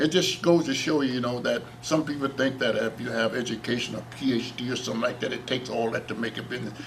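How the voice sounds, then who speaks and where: This man talks very fast in an American accent, with hardly any pauses and fairly even intonation at a medium pitch. Noticeable background noise runs underneath. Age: 80s+. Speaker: talk show guest. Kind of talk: casual chat.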